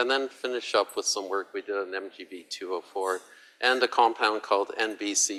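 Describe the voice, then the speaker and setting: The speech runs at a fairly quick pace in a dry, close sound with no echo. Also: man. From Canada. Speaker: physicist, university researcher. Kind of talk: lecture.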